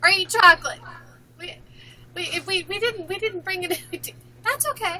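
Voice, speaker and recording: A woman speaks in a raised, projected voice at an extremely high pitch and a moderate pace, with ordinary pitch variation and big swings in loudness. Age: 50s. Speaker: pageant show host. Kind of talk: casual chat. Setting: live stream. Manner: animated.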